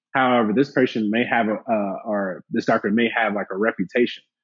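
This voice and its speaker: With an American accent, a man speaks at a medium pitch in an unremarkable speaking voice, his intonation fairly even. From Alabama, US South. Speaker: plastic surgeon. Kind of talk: casual interview chat.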